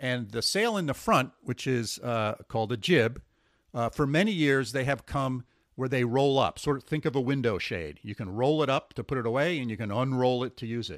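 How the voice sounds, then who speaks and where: A man with an American accent speaks at a medium pitch and a moderate pace. His pitch variation is ordinary, and the recording is very clean with a silent background. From US Northeast. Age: 60s. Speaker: sailing podcast host. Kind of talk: casual conversational podcast. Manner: rambling, hesitant with fillers.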